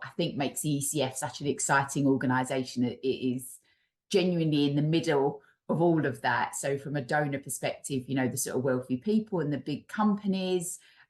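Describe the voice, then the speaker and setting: A woman with an East London accent, very deep and low in pitch, at a fairly quick pace with ordinary pitch variation. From East London, England. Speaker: charity chief executive. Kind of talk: webinar interview.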